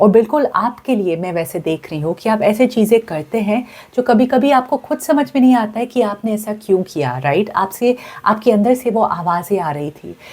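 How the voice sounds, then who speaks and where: A woman with a fairly high, somewhat breathy voice speaks at a moderate pace with lively intonation and hardly any pauses. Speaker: tarot card reader. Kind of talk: tarot reading to camera. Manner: casual, hesitant fillers.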